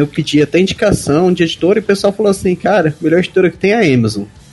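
A man with an ordinary speaking voice, lively intonation and a fairly quick pace. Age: 20s. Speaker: fantasy author. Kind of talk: casual chat.

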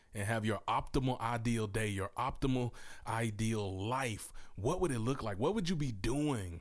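Using an animated tone, a man with a Southern US accent speaks at a moderate pace and medium pitch with ordinary pitch variation. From US South, Mississippi. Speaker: podcast host and author. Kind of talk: casual interview chat.

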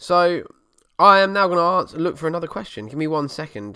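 This voice has an Essex accent. The pace is very fast. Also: man. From Essex, England. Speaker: car enthusiast podcast host and YouTuber. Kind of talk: solo casual chat answering listener questions. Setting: home setup at computer desk in living room.

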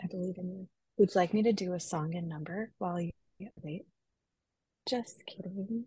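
A woman with an American accent speaks at a medium pitch with fairly even intonation, her somewhat breathy voice dry and close with no echo, broken by long, frequent pauses. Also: moderate pace. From Minnesota. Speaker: executive director of a church advocacy organization. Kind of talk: casual chat.

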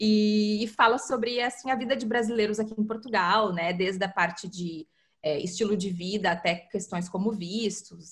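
A woman speaks at a moderate pace and a medium pitch, somewhat breathy, with fairly even intonation. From southern Brazil, Porto Alegre. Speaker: content marketing specialist. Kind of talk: interview. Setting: remote call across continents.

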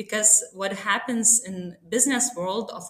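A woman with a Lithuanian accent speaks at a very slow pace in a bright, sharp tone, with ordinary pitch variation. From Lithuania, small town. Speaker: sustainability consultant. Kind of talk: podcast interview.

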